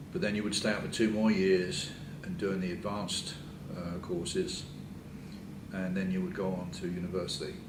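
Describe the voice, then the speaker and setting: With long, frequent pauses, a man of very deep, low pitch speaks at a moderate pace in a monotone, flat intonation, amid noticeable background noise and audible room echo. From England. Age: 70s. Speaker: retired engineering society past president. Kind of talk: interview. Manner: halting, many fillers.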